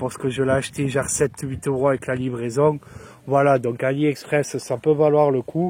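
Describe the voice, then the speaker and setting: A man's fairly high voice, flat and monotone, at a moderate pace. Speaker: motorcycle vlogger. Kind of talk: casual product review. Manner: improvised, chatty.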